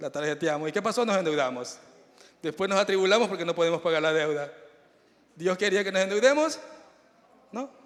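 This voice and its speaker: Speaking at a fairly quick pace with lively intonation, a man with a high voice leaves long, frequent pauses. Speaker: preacher. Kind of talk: sermon. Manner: fast.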